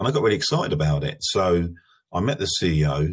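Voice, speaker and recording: A man talks in a very deep, low voice with an English accent. The recording is very clean, with a silent background. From England. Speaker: manufacturing company CEO. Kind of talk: interview.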